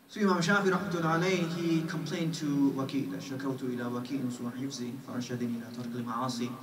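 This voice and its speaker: A man with an American accent speaks at a very fast pace, medium in pitch with ordinary pitch variation. Noticeable background noise and audible room echo fill the recording. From New York. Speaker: Islamic scholar. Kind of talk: lecture. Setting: mosque.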